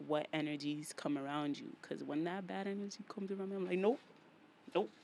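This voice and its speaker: A woman talks in a strong New York accent. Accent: thick New York. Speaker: podcast host. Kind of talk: solo podcast monologue. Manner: casual, repetitive.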